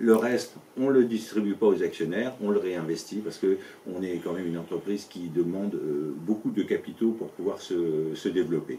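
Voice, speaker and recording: Fairly low male speech at a moderate pace, pitch varying in an ordinary way. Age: 60s. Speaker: business owner and local election candidate. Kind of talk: interview. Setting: at his company premises. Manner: halting, many fillers and repetitions.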